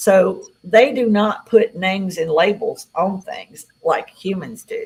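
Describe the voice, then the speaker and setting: A woman with an American accent. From Tennessee, US South. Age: 60s. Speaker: UFO contactee. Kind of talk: interview.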